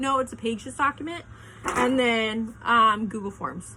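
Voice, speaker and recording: In a normal speaking voice, a woman talks at a fairly high pitch and moderate pace. Her pitch varies in an ordinary way. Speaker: craft business owner and video tutor. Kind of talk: tutorial. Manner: casual, filler-heavy.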